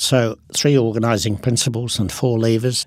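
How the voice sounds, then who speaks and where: A man is speaking. He has an Australian accent. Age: 70s. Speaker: business innovator. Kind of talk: interview.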